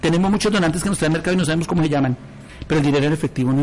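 Background noise can be clearly heard. The rise and fall of pitch is ordinary. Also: man. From Colombia, Ibagué (Tolima). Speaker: shelter caretaker and amateur radio broadcaster. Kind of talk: interview testimony.

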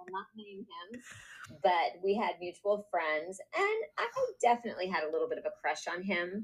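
This woman has a normal speaking voice of medium pitch, talks at a moderate pace with ordinary pitch variation, and shows big swings in loudness. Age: 50s. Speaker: podcast co-host. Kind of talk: casual chat.

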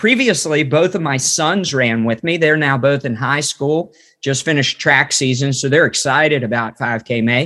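A man with an American accent, a plain, everyday voice, fairly high pitch and ordinary pitch variation, at a moderate pace with hardly any pauses. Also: very clean recording, silent background. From West Virginia. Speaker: ministry trainer and former missionary. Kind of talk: casual interview and Bible teaching.

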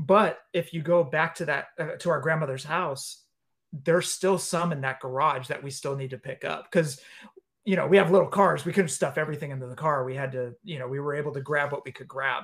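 In a very clean recording with a silent background, a man with an American accent and an ordinary speaking voice talks at a fairly high pitch and a fairly quick pace, with ordinary pitch variation and big swings in loudness. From US West Coast, San Leandro, California. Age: 40s. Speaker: wrestling figure podcast host. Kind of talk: casual chat.

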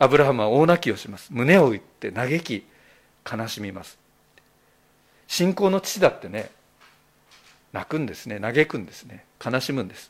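A man with a medium pitch talks at a moderate pace, with very wide pitch swings, big swings in loudness and long, frequent pauses. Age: 60s. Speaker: pastor. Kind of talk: sermon. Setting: church.

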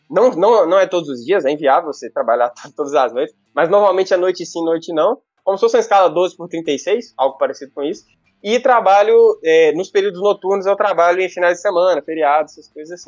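A high-pitched man talks at a fairly quick pace in a Bahian accent, his pitch varying in an ordinary way. His loudness swings widely, and music plays in the background. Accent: Bahian-sounding Brazilian Portuguese. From northeastern Minas Gerais, Brazil (near Bahia border). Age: 20s. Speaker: medical student and content creator. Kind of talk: casual interview chat. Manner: talkative.

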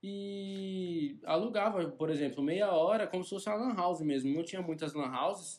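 This man has a high-pitched voice with ordinary pitch variation. He speaks at a moderate pace. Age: 20s. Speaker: e-commerce entrepreneur. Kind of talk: casual interview.

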